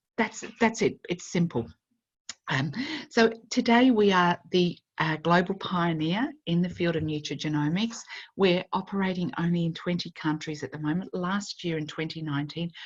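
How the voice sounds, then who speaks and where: A woman talks at a moderate pace in a normal speaking voice, with ordinary pitch variation. The background is quiet. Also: fairly low pitch for a woman. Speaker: network marketing presenter. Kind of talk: sales pitch.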